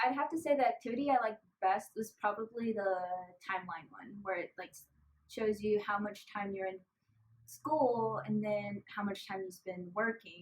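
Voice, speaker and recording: Somewhat breathy, the voice comes with a Spanish accent, a moderate pace and ordinary pitch variation. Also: woman, medium pitch for a woman. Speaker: college student volunteer. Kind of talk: interview.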